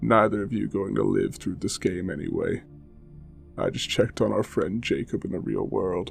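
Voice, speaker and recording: Over clear background music, a man does a gruff, put-on character voice at a moderate pace. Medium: audio drama. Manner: calm and collected.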